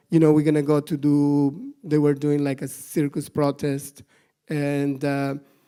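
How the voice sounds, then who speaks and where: A man with a dark, mellow tone and fairly high pitch, on a very clean recording with a silent background. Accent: Mexican. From northern Mexico, Monterrey. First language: Spanish. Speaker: animal rights activist. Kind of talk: conference talk. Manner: halting, many fillers and repetitions.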